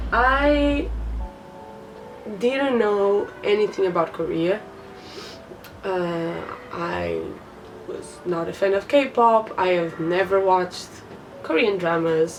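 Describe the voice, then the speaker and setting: Against noticeable background noise, a woman with a Portuguese accent speaks very slowly at a medium pitch, with long, frequent pauses. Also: lively intonation. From Portugal. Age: 20s. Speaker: vlogger. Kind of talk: casual vlog talk to camera. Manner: hesitant, many fillers.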